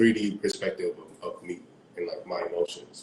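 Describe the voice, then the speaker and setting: At a moderate pace, the speaker talks with an American accent amid light background noise and audible room echo. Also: man. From South Florida, Caribbean family. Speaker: singer and music producer; guest. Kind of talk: casual interview. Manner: animated. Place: home room. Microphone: video call.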